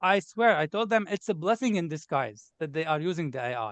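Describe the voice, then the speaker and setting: At a fairly quick pace, the voice's pitch swings very widely. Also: man. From Lebanon. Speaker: test taker sharing exam success. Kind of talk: interview.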